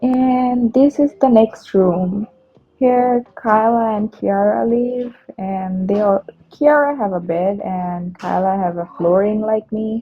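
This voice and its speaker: Speaking very slowly with a Bengali accent, a woman uses a fairly high pitch and ordinary pitch variation. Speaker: vlogger. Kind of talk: casual vlog narration. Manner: hesitant, with fillers.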